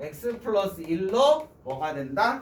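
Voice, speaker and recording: The voice belongs to a man. There is noticeable noise in the background. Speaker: math teacher. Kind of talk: lecture.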